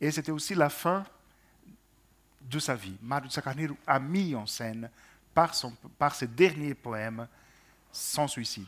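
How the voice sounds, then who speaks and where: Pausing long and often, a man talks at a fairly slow pace in a fairly high pitch with lively intonation. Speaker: translation panelist. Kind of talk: panel discussion on poetry translation. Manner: hesitant, repeats words.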